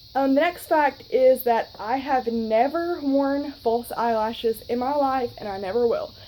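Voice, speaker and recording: A woman with a high pitch and a dark, mellow tone speaks at a fairly slow pace, showing ordinary pitch variation and hardly any pauses. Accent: Southern US. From US South, North Alabama. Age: 20s. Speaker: vlogger. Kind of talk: casual vlog talk. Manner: chatty, many fillers.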